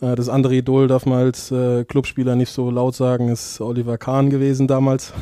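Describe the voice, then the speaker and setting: Fairly quick, monotone, flat male speech with a dark, mellow tone, dry sound with no echo and a quiet background. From Mainz, Germany; Germany. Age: 20s. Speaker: professional football goalkeeper; podcast guest. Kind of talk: casual interview. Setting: office. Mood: relaxed, anecdotal, humorous. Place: office. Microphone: headset.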